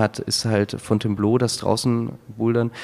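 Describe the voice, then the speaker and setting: Moderately paced, a man speaks at medium pitch with flat, monotone intonation. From Hamburg, northern Germany. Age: 30s. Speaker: amateur boulderer and engineer. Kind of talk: interview.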